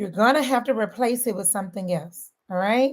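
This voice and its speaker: Speaking in a Southern accent, a woman with a fairly high pitch sounds animated, her intonation lively and her pace moderate. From St. Louis, Missouri. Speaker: weight loss coach. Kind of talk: motivational talk.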